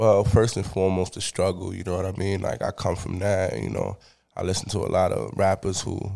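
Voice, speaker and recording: Heard on a very clean recording with a silent background, the speaker has an American accent, a dark, mellow tone with vocal fry, fairly even intonation and a fairly quick pace. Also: man, very deep, low pitch for a man. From Bronx, New York. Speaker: rapper. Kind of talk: casual interview.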